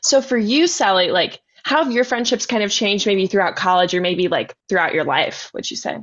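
An unremarkable speaking voice with lively intonation, a fairly quick pace and hardly any pauses. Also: woman, fairly high pitch for a woman. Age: 20s. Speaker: podcast host. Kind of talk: casual chat.

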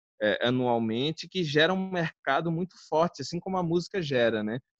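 A man with an ordinary speaking voice talks at a moderate pace and with ordinary pitch variation, the sound dry and close with no echo. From Alagoas, northeastern Brazil (born Guarulhos, São Paulo). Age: 20s. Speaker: filmmaker. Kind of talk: casual interview chat. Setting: online live stream.

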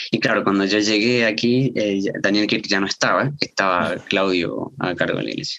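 This man's voice sits fairly low, with ordinary pitch variation. He talks at a fairly slow pace. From Salta, northern Argentina. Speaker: seminary student and preacher. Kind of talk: casual chat about a sermon. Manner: halting, with fillers and repetitions.

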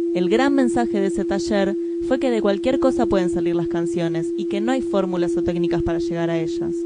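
A woman with a Rioplatense accent at a fairly quick pace, amid noticeable background noise and audible room echo. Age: 20s. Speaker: podcast host. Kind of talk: scripted narration.

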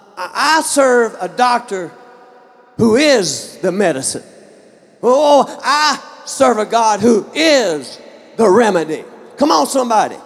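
Over noticeable background noise, a man with an extremely high pitch and an animated tone makes very wide pitch swings and takes long, frequent pauses. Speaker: pastor. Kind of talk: sermon. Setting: church. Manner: animated, call-and-response preaching; fervent, emphatic.

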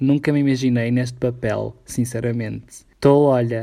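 A man speaks at a medium pitch with a European Portuguese accent, his intonation monotone and flat. The recording is very clean, with a silent background. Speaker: podcast co-host. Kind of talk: casual chat.

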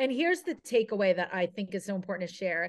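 A woman's medium-pitched voice comes through with a quiet background behind it. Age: 40s. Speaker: TV lifestyle personality and podcaster. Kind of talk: interview. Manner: animated.

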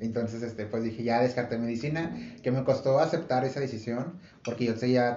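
A man talks in a somewhat breathy voice. The room has an audible echo. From Monterrey, northern Mexico. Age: 20s. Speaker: podcast host, industrial engineer. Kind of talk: casual chat.

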